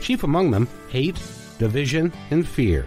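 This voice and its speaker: A man's fairly high voice with very wide pitch swings, at a moderate pace over music in the background. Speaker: podcast host. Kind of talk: show intro.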